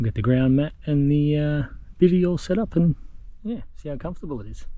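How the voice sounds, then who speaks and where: A man's fairly high voice in an Australian accent, with lively intonation and a fairly quick pace. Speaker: outdoor camping vlogger. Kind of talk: solo vlog narration. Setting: outdoors in bush by a river. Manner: quiet, near whisper; casual, relaxed.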